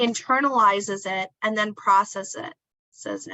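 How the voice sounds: Against a quiet background, a natural reading voice carries ordinary pitch variation.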